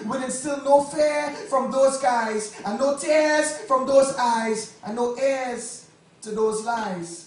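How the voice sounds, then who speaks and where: A man's voice with music in the background. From Trinidad and Tobago. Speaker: spoken word poet. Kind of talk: live spoken word poetry performance. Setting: live on stage at a poetry cafe.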